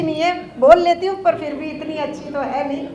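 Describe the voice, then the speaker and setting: A woman speaks with a Telangana accent and fairly even intonation. Audible room echo surrounds her voice. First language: Telugu (speaking Hindi). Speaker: organisation office-bearer. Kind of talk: public speech. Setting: stage with audience. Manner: halting.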